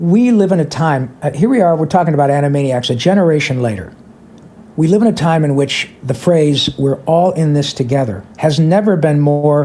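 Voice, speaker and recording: Somewhat breathy delivery at a moderate pace, with lively intonation. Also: man. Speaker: voice actor. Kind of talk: interview answer.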